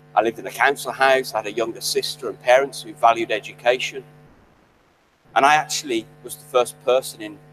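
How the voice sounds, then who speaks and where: Over music in the background, a man talks at a very fast pace with big swings in loudness. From West Midlands, England (Birmingham/Solihull). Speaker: graduation guest speaker, chemist. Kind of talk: ceremonial speech.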